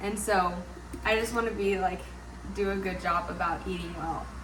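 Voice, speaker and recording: A woman talking at a fairly quick pace, with noticeable background noise and audible room echo. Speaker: lifestyle vlogger. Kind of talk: casual vlog talk to camera. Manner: fast; chatty, lots of filler words.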